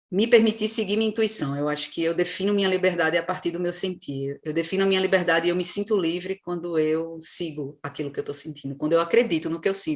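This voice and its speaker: A woman speaks very fast in a Pernambuco accent, her voice fairly low in pitch and hardly pausing at all. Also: ordinary pitch variation. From Brazil, Recife (Pernambuco). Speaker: podcast co-host. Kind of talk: casual chat.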